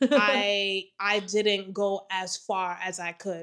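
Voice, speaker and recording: A woman's bright, sharp, medium-pitched voice in monotone, flat intonation, on a very clean recording with a silent background. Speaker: married couple podcast host. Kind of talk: casual conversational podcast. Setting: shared microphone. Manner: trying to speak up.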